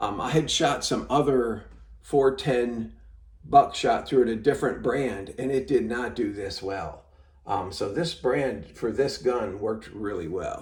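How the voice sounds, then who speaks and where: A man speaks with vocal fry and lively intonation at a fairly slow pace. Room echo is audible. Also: medium pitch for a man. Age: 70s. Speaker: gun collector and channel host. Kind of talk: product review and range test narration. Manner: halting, with many fillers; casual, relaxed.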